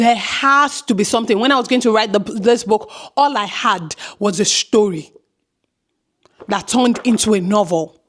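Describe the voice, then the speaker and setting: Animated in tone, a woman at fairly high pitch speaks at a moderate pace with ordinary pitch variation, very even loudness and long, frequent pauses. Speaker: author and filmmaker. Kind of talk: motivational talk to camera.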